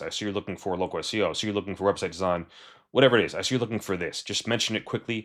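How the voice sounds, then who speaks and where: A man mumbling on a very clean recording with a silent background. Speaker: freelancer coach. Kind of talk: tutorial. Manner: fast.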